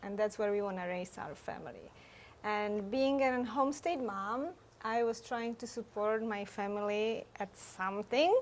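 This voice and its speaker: A woman with a Czech accent speaks at a fairly slow pace. Her voice is fairly high, with ordinary pitch variation. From Czech Republic. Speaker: photographer. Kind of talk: interview.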